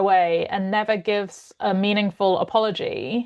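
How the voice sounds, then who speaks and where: A woman speaks with a British accent at a fairly high pitch. The background is quiet. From United Kingdom. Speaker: mediator and organizational consultant. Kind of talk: podcast interview.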